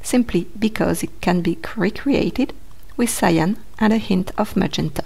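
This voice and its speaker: This voice, with a French accent, keeps very even loudness and lively intonation at a fairly slow pace. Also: woman, medium pitch for a woman. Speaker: art educator. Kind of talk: educational talk to camera.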